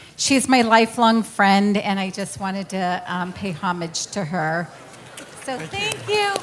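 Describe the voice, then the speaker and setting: The speech comes fairly slowly with ordinary pitch variation, and noticeable background noise is audible. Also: woman, medium pitch for a woman. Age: 60s. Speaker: audience member. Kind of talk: audience question. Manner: halting.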